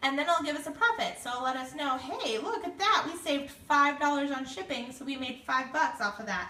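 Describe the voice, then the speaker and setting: A raised, projected voice with lively intonation, audible room echo and noticeable background noise. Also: woman. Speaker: direct sales consultant. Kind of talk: tutorial. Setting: Facebook live video stream.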